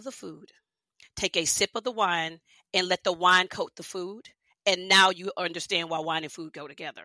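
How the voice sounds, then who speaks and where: With an American accent and a bright, sharp tone, a woman speaks with big swings in loudness on a very clean recording with a silent background. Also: dry, close sound with no echo. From Texas, Houston. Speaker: wine writer and consultant. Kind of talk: interview, casual chat.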